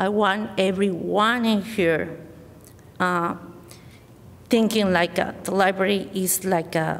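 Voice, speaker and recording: In a Spanish accent, a woman speaks very slowly at a medium pitch with monotone, flat intonation. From Mexico. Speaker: library board candidate. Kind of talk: candidate speech at public forum. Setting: school forum with audience. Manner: halting.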